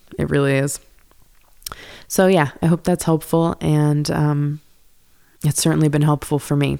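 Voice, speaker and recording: Her voice very deep and low with a dark, mellow tone, a woman speaks at a moderate pace in a monotone, flat way, with very even loudness and long, frequent pauses. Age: 20s. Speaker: podcast host and yoga teacher. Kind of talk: solo monologue podcast. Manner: casual, rambling with frequent laughs.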